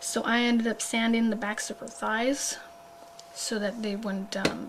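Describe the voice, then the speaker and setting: Noticeable background noise is audible. The delivery is fairly slow. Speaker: doll hobbyist vlogger. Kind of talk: tutorial. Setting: at home late at night. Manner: quiet; hesitant, many fillers.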